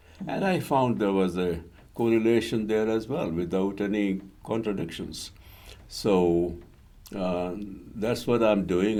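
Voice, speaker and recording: A man speaks at a fairly slow pace in a dark, mellow tone. There is audible room echo. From India. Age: 80s+. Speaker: retired civil engineer and interfaith author. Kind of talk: interview. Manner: hesitant, many fillers.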